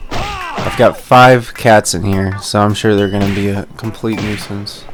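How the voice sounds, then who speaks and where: A man speaks at a fairly slow pace in a fairly low pitch. His intonation stays monotone and flat, with music in the background. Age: 30s. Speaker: gaming video creator. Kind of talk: let's play commentary. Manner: casual with many fillers.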